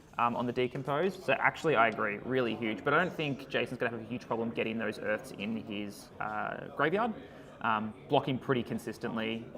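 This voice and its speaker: Spoken at a fairly quick pace with an Australian accent, the voice shows ordinary pitch variation. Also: man, medium pitch for a man. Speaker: card game commentator. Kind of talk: live commentary. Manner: quieter; loud.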